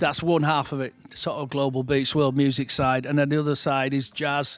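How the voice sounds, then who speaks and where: With a Yorkshire accent, a man speaks at a fairly high pitch in a monotone, flat intonation. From Shipley, West Yorkshire, England. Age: 60s. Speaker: DJ and music promoter. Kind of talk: casual interview chat. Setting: music venue.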